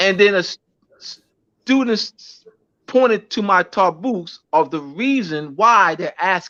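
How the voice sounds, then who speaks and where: A man with an American accent speaks at a very slow pace in a high pitch with lively intonation. His raised, projected voice has a bright, sharp tone, the sound dry and close with no echo. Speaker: teacher and lecturer. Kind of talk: casual chat; lecture. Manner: halting, many restarts and fillers.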